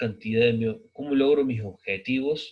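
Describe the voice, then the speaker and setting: Somewhat breathy and very slow, a man of medium pitch speaks with fairly even intonation. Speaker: sociology teacher. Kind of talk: recorded lecture. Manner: halting, many fillers.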